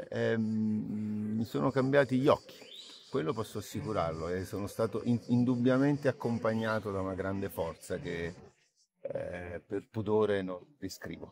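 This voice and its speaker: The speech moves at a fairly slow pace with ordinary pitch variation. The sound is dry with no echo, and light background noise is present. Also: man, fairly low pitch for a man. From Naples, Italy. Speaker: actor. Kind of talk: interview answer. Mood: calm, reflective. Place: garden. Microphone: phone near.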